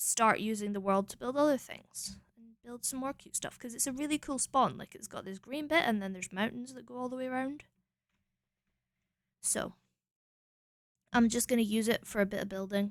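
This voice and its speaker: A woman with a Scottish accent, fairly high in pitch, mumbling at a moderate pace with ordinary pitch variation, big swings in loudness, and long, frequent pauses. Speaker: streamer. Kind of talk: casual chat.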